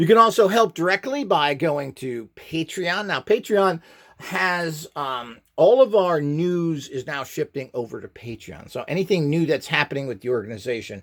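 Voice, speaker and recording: A man at a moderate pace, with big swings in loudness and very wide pitch swings, in a very clean recording with a silent background. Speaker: channel host demonstrating esoteric tools. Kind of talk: casual video monologue with channel promotion. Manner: hesitant, many filler words.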